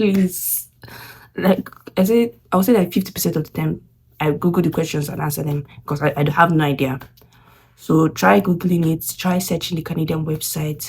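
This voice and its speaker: With vocal fry and a very deep, low pitch, a woman speaks at a moderate pace with ordinary pitch variation. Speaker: international student vlogger. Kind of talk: casual vlog talk. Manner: halting.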